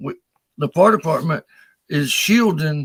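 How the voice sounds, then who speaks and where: This man has an unremarkable speaking voice at a fairly high pitch, with ordinary pitch variation and a moderate pace. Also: dry, close sound with no echo. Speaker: former firefighter. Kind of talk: casual live-stream chat.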